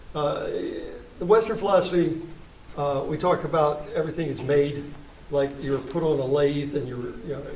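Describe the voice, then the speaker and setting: Noticeable background noise and audible room echo surround a man with an American accent who speaks at a fairly high pitch and a fairly quick pace with fairly even intonation. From West Virginia (Charleston area). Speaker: poet and playwright. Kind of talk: post-performance Q&A discussion. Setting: small theater with live audience, no sound system. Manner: halting, many repetitions and fillers.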